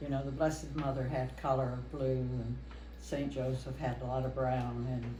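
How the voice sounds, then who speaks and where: The speaker talks with an American accent over noticeable background noise. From US Midwest, Kansas (Wichita). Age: 80s+. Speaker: longtime parishioner. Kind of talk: oral history interview.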